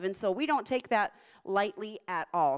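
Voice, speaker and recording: Here a woman speaks with an American accent at a fairly quick pace. Her pitch swings very widely. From US South, Central Florida. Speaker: missionary. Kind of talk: sermon. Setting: church with live audience.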